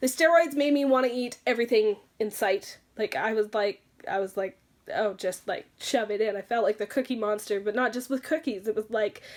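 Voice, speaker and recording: A woman with a fairly high pitch and ordinary pitch variation talks at a fairly quick pace in a very clean recording with a silent background. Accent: Canadian. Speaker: beauty vlogger. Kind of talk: personal storytelling vlog. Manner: fast; animated.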